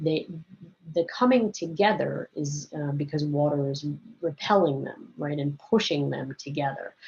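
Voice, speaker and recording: A woman speaks with a very deep, low pitch and a somewhat breathy quality. Her pace is moderate and her pitch variation ordinary. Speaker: biology teacher. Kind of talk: recorded lecture. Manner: casual, conversational with fillers.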